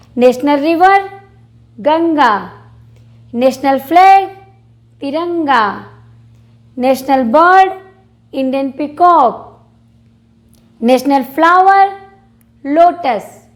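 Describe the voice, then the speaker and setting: Her pitch high, a woman speaks with lively intonation and long, frequent pauses. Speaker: teacher. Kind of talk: tutorial. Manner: slow, repetitive spelling out.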